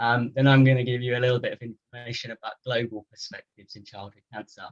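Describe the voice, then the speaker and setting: A man with a British accent talks at a very fast pace at a medium pitch, his intonation monotone and flat. His loudness swings widely, and the sound is dry and close with no echo. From United Kingdom. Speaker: physiotherapist. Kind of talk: lecture.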